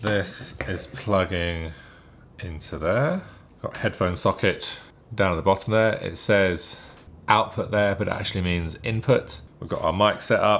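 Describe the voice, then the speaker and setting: This man's voice sits at a fairly low pitch with ordinary pitch variation. He talks at a fairly slow pace. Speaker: gear reviewer. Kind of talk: tutorial. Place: home room.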